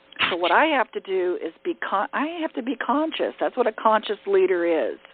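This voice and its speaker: Her pitch swings very widely as this woman talks. She keeps a moderate pace. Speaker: leadership coach. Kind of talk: teleconference workshop talk. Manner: direct.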